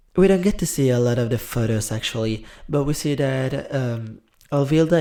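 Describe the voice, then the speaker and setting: A man with an Italian accent speaks in a dark, mellow tone, his intonation lively. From Italy. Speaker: drag performer and TV show commentator. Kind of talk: casual commentary vlog. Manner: hesitant, with fillers and self-corrections.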